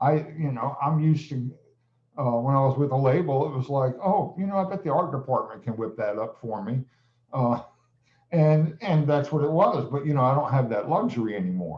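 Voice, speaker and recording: A man speaks at a moderate pace in a fairly high, somewhat breathy voice with lively intonation. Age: 60s. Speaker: music producer and piano teacher. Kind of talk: casual interview chat.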